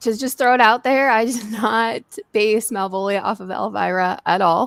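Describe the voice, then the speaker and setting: Someone speaks in a plain, everyday voice with an American accent and ordinary pitch variation. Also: woman. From Massachusetts (Danvers, near Salem). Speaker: actress, horror host character creator. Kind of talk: podcast interview.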